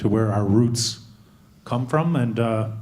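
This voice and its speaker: A man's voice with a dark, mellow tone sits at a medium pitch, with audible room echo. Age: 30s. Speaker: conference audience member. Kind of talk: audience question. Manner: halting.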